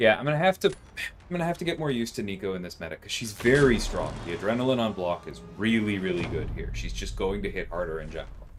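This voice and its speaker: A man talks very fast while noticeable noise fills the background. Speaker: gaming streamer. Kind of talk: live gameplay commentary. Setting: livestream. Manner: murmuring, soft at times.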